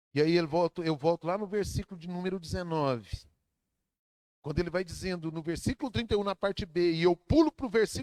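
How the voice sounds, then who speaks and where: The sound is dry and close, with no echo. A man talks in a high voice. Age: 60s. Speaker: pastor. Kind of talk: sermon.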